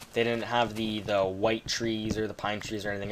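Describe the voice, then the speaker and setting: With a Canadian accent, a man speaks at a moderate pace in a fairly low voice as noticeable background noise runs beneath. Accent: Canadian, noticeable on 'house'. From Canada. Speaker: gaming commentator. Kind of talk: gameplay commentary. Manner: casual, filler-heavy.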